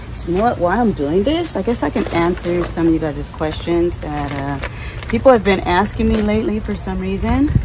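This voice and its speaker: Noticeable background noise accompanies the recording. The woman talks at a moderate pace. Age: 50s. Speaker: gardening video creator. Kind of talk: casual vlog talk while gardening. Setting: outdoors in the garden. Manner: relaxed with many fillers. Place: garden. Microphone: phone near.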